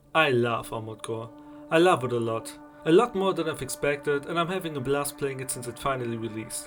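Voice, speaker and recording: A man with a German accent at a fairly high pitch and a very fast pace, over music in the background. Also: ordinary pitch variation. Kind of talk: gaming video essay narration.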